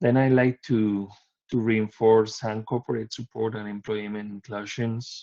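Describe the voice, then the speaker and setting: A man speaks with a Spanish accent at a medium pitch. His intonation is monotone and flat. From Spain. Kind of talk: conference presentation. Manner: halting with repetitions.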